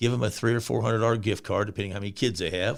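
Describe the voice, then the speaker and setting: A man speaks in an animated tone with a Texan accent, recorded very cleanly against a silent background. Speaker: nonprofit founder. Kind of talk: interview. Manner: loud.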